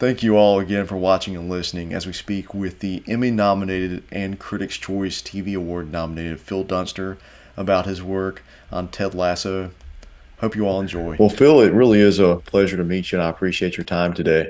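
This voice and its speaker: With a North Carolina accent, a man speaks at a fairly quick pace in a very deep, low pitch and fairly even intonation. The recording is very clean, the background silent. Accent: Southern US, North Carolina. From US South, North Carolina. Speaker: film critic, interviewer. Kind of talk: scripted intro; interview.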